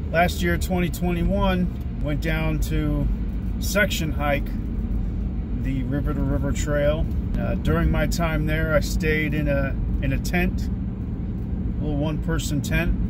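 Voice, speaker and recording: The voice moves at a very slow pace with ordinary pitch variation, recorded dry with no echo over loud background noise. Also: man. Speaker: hiking vlogger. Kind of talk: casual vlog chat. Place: car. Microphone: phone near.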